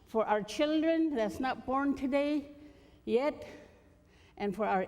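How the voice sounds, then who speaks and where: A woman's dark, mellow tone, with very wide pitch swings and a fairly slow pace. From Alaska, Gwich'in. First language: Gwich'in. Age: old. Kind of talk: conference speech. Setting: conference stage with audience.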